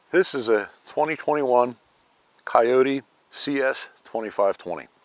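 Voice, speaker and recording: A man with an unremarkable speaking voice talks at a fairly slow pace, his medium pitch showing ordinary variation. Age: 60s. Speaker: channel owner, tractor and firewood hobbyist. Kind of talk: casual video walkthrough. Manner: conversational, relaxed.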